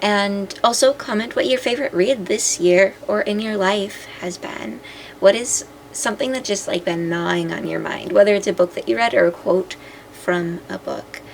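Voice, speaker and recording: Against noticeable background noise, a woman of medium pitch speaks at a moderate pace with ordinary pitch variation. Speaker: astrology content creator. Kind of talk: casual vlog talk to camera.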